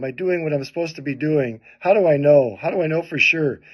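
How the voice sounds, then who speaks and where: Speaking at a moderate pace, the man has a fairly high pitch and ordinary pitch variation. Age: 60s. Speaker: pastor and evangelist. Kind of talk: personal testimony. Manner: casual, hesitant fillers.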